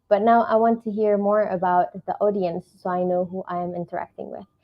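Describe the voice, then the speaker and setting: Woman with a medium pitch, ordinary pitch variation, and a moderate pace, with music in the background. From Ethiopia. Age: 20s. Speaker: tech professional, webinar speaker. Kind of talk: webinar presentation. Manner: many fillers, some hesitation.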